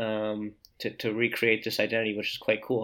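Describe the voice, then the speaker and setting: On a very clean recording with a silent background, a man at medium pitch talks at a fairly quick pace. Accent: New Jersey. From US Northeast, New Jersey. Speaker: co-living design consultant. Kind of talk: interview conversation. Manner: halting.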